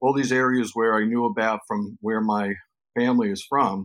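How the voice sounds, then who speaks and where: A man speaks at a moderate pace with a New York accent. His medium-pitched voice keeps a fairly even intonation. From New York City, the Bronx. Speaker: cannabis journalist and former magazine editor. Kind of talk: interview conversation.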